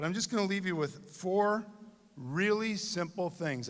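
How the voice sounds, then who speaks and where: Moderate pace and ordinary pitch variation, in a Michigan accent. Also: man. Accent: US Midwest (Michigan). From Michigan, Dearborn. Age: 60s. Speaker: commencement speaker. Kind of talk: commencement speech. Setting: stage with audience.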